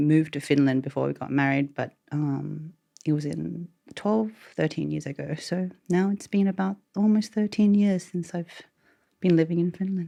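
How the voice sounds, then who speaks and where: A woman with an Australian accent speaks at a moderate pace in a very deep, low pitch. Her tone is dark and mellow, with ordinary pitch variation. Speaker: podcast guest. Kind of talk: casual interview, personal testimony.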